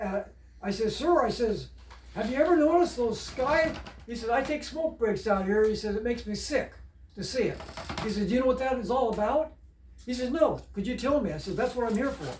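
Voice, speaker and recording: A man speaks at a fairly quick pace with an extremely high pitch and ordinary pitch variation. Audible room echo and noticeable background noise fill the recording. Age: 70s. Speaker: storyteller. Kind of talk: storytelling. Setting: home. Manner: halting.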